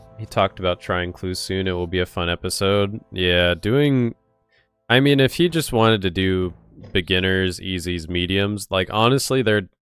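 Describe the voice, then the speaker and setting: A man speaks in a very deep, low voice with music playing in the background. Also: ordinary pitch variation, moderate pace. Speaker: streamer. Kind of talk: live stream gaming commentary. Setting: live stream.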